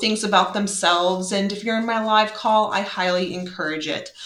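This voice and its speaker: A woman's medium-pitched voice, with audible room echo and noticeable background noise. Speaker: math teacher. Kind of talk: lesson for students online. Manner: slow.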